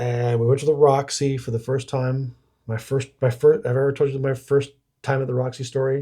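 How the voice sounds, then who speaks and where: Speaking at a fairly quick pace, a man uses a medium pitch with monotone, flat intonation and a dark, mellow, somewhat breathy tone. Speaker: podcast co-host. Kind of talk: casual chat. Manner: halting, repeats words.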